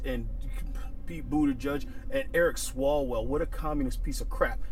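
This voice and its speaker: The man sounds angry. The recording is dry with no echo, and there is light background noise. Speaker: firearms instructor and YouTuber; firearms instructor, YouTuber. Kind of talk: angry rant to camera. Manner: angry, heated, emphatic; repetitive, stumbling, punchy. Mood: angry, indignant. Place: car.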